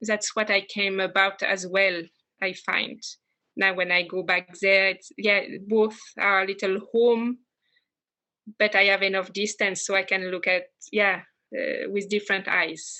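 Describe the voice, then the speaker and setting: A woman with a French accent speaks at medium pitch in a flat monotone, at a fairly slow pace with long, frequent pauses. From France, west coast. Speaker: immigrant interviewee. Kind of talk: interview. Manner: halting.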